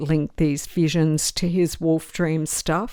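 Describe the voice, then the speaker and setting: At a very slow pace, a woman speaks with an Australian accent on a very clean recording with a silent background. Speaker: fantasy TV show commentator. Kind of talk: podcast-style commentary reading social media responses. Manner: casual, with fillers.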